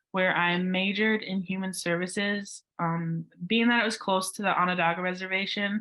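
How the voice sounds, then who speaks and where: In a Western New York accent, a woman talks at a medium pitch and a moderate pace. Her intonation stays monotone and flat. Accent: Western New York American. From Western New York, Cattaraugus Seneca territory. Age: 20s. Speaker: university student. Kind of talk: conference panel talk.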